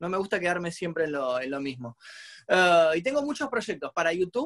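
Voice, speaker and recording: Very wide pitch swings in a man's high-pitched voice. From Argentina. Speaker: youtuber and musician. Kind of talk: casual interview.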